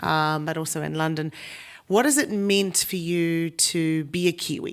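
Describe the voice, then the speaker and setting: Recorded very cleanly with a silent background, a woman speaks at a fairly low pitch with a New Zealand accent. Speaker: panel moderator. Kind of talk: conference panel discussion.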